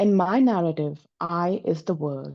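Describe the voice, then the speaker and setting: A very slow woman's voice, dark and mellow in tone, against a quiet background. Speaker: workshop participant. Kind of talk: reading aloud own writing. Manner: slower on second reading.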